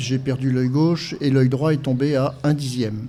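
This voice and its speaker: Dark, mellow tone, somewhat breathy, with monotone, flat intonation at a moderate pace. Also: man. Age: 60s. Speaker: blind guide-dog association president. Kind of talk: podcast interview testimony. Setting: live podcast event with audience. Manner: hesitant, many fillers.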